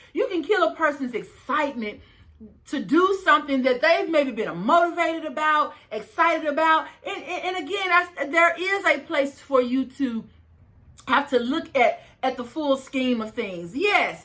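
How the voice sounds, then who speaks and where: Raised and projected, a woman's high voice has a bright, sharp tone, an animated manner, lively intonation and a moderate pace. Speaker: life coach and video host. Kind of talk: motivational vlog monologue. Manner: high-pitched at times.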